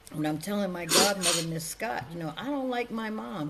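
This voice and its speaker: A woman with an American accent talks at a fairly quick pace with lively intonation. Noticeable background noise and audible room echo are present. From Connecticut, New Haven. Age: 60s. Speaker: domestic violence advocate. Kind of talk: testimony.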